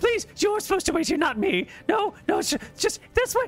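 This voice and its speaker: A man puts on a shrill character voice at an extremely high pitch. He keeps a moderate pace. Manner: pleading, groveling.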